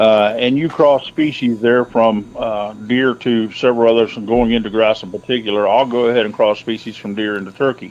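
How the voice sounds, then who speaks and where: A man of medium pitch speaks in a plain, everyday voice at a fairly quick pace, with fairly even intonation and hardly any pauses. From central Ohio. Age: 50s. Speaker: hunter and trapper. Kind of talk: casual interview.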